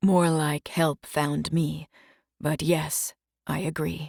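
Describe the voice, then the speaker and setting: A soft-spoken, growling put-on character voice at a very slow pace. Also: woman, very deep, low pitch for a woman. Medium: read story. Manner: soft-spoken, brooding.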